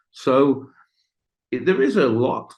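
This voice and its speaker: This man talks with an English accent. His voice carries vocal fry. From Britain. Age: 50s. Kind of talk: interview. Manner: halting.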